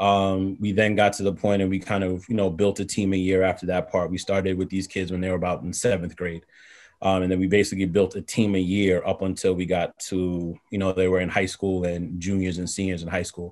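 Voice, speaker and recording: Over a quiet background, a man with a very deep, low pitch talks fairly quickly in a monotone, flat way. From New York (Far Rockaway, Queens); New York. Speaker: basketball coach. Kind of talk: podcast interview. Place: home room. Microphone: video call.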